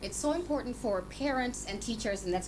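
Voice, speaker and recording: A woman with ordinary pitch variation, audible room echo and noticeable background noise. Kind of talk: radio talk show interview. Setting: radio studio. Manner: fast.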